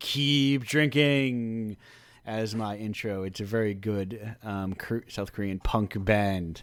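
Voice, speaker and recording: Speaking very slowly, the man has a fairly low pitch. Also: ordinary pitch variation. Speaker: radio show host. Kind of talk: casual chat. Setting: online radio show over Discord. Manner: distinct host cadence.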